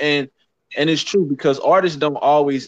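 A man's normal speaking voice at a moderate pace, with fairly even intonation, in a dry, close sound with no echo. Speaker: podcast co-host. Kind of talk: casual banter, comedic talk show.

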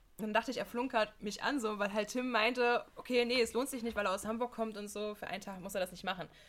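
A woman talks very fast in a fairly high pitch. Her intonation stays fairly even. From Halberstadt, Harz, central Germany. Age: 20s. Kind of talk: casual chat.

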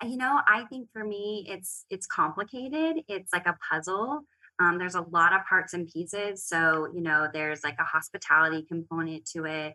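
With an American accent, a woman speaks at a moderate pace in a fairly low voice with a bright, sharp tone, lively intonation, big swings in loudness, and hardly any pauses. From Oklahoma. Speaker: interior design leader. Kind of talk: casual chat.

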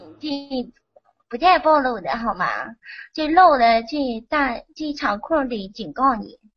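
A woman speaks very slowly in a high voice, leaving long, frequent pauses. Her intonation is lively. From Henan, China. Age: young. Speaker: caller. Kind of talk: casual chat.

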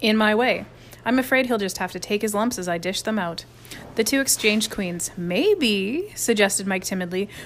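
The speaker is reading aloud in a natural voice with ordinary pitch variation.

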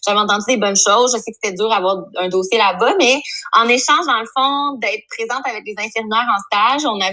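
Noticeable background noise surrounds a woman speaking with a Quebec accent at a fairly quick pace. Her pitch is fairly high, with ordinary pitch variation. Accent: Québécois French. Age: 30s. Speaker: psychosocial worker. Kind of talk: casual chat.

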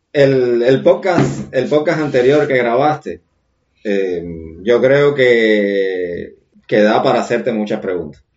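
With music in the background, a man with a medium-pitched voice speaks very slowly and with lively intonation. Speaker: podcast host. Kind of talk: casual chat; scripted narration. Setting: guest's home studio.

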